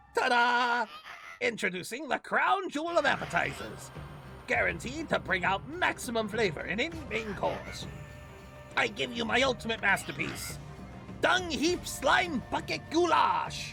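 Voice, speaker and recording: A man's put-on character voice at an extremely high pitch and moderate pace, with clear music in the background. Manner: boastful, theatrical.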